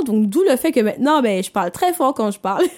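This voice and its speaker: A woman with an unremarkable speaking voice, lively intonation and a fairly quick pace, in a dry, close sound with no echo. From Martinique. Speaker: personal development podcaster. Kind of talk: motivational monologue. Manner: conversational, with fillers.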